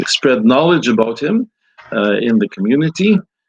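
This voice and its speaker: A man at a moderate pace with ordinary pitch variation, dry and close with no echo. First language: Ukrainian. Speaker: priest and scholar. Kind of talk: interview. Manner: halting.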